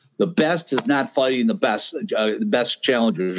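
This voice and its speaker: A man speaks at medium pitch, his voice making very wide pitch swings. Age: 60s. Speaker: boxing agent and consultant. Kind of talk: podcast interview. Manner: halting.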